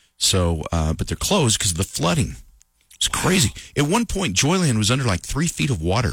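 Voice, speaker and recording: A man talks at a fairly quick pace with vocal fry and very wide pitch swings. His loudness stays very even, and the recording is very clean with a silent background. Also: medium pitch for a man. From New Mexico. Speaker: country radio morning host. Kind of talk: casual morning radio chat. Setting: radio studio.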